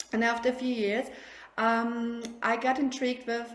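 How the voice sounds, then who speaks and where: A woman speaks with a German accent. Her pitch sits fairly high. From Germany. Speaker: sleep consultant. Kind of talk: casual interview. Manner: halting.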